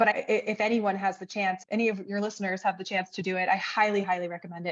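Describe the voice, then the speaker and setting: A woman with an American accent talks at a very fast pace. Her pitch is medium and the background is quiet. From US. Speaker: freelance brand strategist. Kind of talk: interview.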